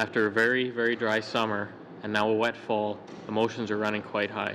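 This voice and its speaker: With a Canadian accent, a man talks fairly quickly in a flat monotone at a fairly low pitch, over noticeable background noise. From southern Alberta, Canada. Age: 30s. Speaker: farmer testifying at committee. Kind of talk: testimony. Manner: formal.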